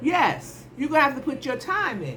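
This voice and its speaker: A woman talks in an animated way at a moderate pace, with ordinary pitch variation and noticeable background noise. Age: 70s. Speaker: nurse. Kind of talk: advice monologue.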